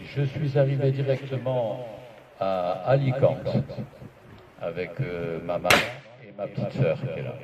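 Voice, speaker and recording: A man at medium pitch with lively intonation, a fairly slow pace, long and frequent pauses and big swings in loudness, amid audible room echo and noticeable background noise. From Algeria (pied-noir, Oran), then Spain. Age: 70s. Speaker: association president. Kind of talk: speech. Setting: meeting hall with audience. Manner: emotional, formal oratory.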